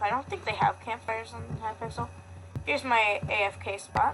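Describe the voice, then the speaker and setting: A woman is soft-spoken. Background noise is noticeable behind her. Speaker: gaming youtuber. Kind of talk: gameplay commentary. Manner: halting.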